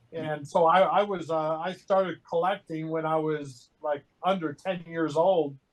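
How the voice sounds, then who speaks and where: At a fairly slow pace and with hardly any pauses, a man speaks at a fairly high pitch in a monotone, flat intonation. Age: 60s. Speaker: lifelong collector. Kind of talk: casual interview.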